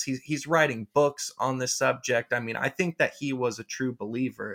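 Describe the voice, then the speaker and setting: A man speaks in an unremarkable speaking voice at a moderate pace on a very clean recording with a silent background. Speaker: podcast host. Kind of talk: podcast interview. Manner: casual.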